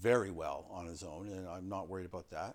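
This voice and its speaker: A man talks at a moderate pace in a normal speaking voice. His pitch sits fairly low, and his intonation stays fairly even. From Canada. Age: 50s. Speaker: coaching podcast host. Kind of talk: casual interview.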